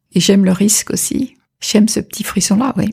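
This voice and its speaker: A woman talks at a moderate pace. Her tone is dark and mellow, with vocal fry. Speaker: orchestra conductor. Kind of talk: interview. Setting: at the host's home. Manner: halting.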